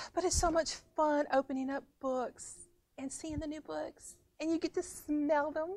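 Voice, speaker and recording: A woman speaks with a high pitch and fairly even intonation. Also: moderate pace. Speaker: librarian presenting new books. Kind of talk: casual book review video. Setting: recorded on camera.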